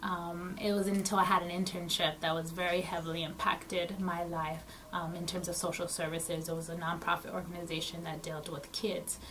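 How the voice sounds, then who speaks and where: Speaking fairly quickly with an American accent, a woman with a fairly low voice talks in a flat monotone amid noticeable background noise and audible room echo. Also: hardly any pauses. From South Texas. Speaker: social worker. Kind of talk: interview. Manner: hesitant, many um fillers.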